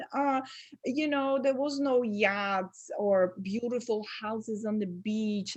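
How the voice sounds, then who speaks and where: In a Polish accent, a woman speaks at a very slow pace with a fairly high pitch, lively intonation and a somewhat breathy sound, against a quiet background. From Poland (Warsaw). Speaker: essential oils entrepreneur. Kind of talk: interview.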